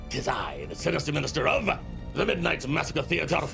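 A put-on character voice at a fairly quick pace, with big pitch swings, vocal fry and clear music in the background. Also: man, fairly high pitch for a man.

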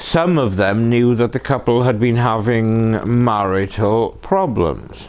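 A man with a British accent speaks at a very slow pace with hardly any pauses, very even loudness, medium pitch and ordinary pitch variation. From UK. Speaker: true crime channel host. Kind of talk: scripted narration. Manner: sardonic. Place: home room.

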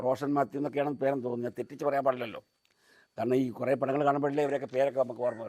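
This man's voice sits at a medium pitch. He delivers everything in a monotone with flat intonation. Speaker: YouTuber giving film opinions. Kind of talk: solo vlog monologue. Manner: halting, many pauses.

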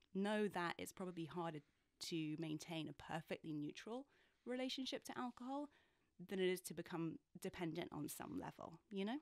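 Speaking with a British accent, a woman talks at a moderate pace and fairly low pitch with lively intonation. The sound is dry with no echo, and the background quiet. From UK. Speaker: author and journalist; journalist. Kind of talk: interview conversation. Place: studio. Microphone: studio mic.

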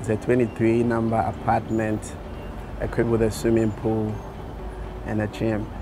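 A man is speaking with noticeable background noise. The sound is dry, with no echo. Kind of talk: interview answer. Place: street.

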